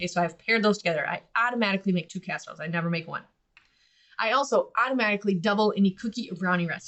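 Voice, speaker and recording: Speaking very fast with an American accent, a woman holds a medium pitch and ordinary pitch variation. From US Midwest. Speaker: podcast host and business owner. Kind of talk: casual instructional podcast talk. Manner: conversational, animated.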